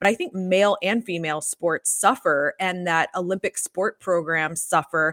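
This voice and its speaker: Delivered in a plain, everyday voice, a woman with an American accent talks at a moderate pace with hardly any pauses, her medium pitch held in fairly even intonation and the sound dry and close with no echo. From US South, Atlanta. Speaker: sports law consultant. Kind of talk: interview. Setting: video call.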